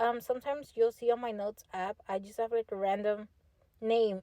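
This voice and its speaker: A woman's dark, mellow tone comes through dry and close, with no echo. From Texas, Fort Worth. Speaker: podcast host. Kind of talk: casual monologue. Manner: casual, filler-heavy.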